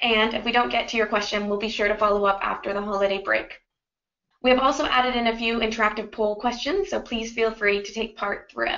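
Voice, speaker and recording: At a fairly quick pace, a woman with an ordinary speaking voice talks in a fairly high pitch with fairly even intonation. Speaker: webinar host, business development lead. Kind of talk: webinar moderation. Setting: online webinar call. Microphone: video call.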